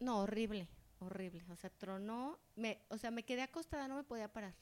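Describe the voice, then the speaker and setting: A woman talks at a moderate pace in a fairly high pitch. She has an ordinary speaking voice with ordinary pitch variation. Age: 40s. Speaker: podcast co-host. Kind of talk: casual chat.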